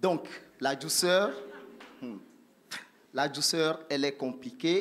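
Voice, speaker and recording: Here a man talks at a very slow pace. His pitch variation is ordinary. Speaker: church group leader teaching. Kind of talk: church teaching talk. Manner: soft-spoken, slow.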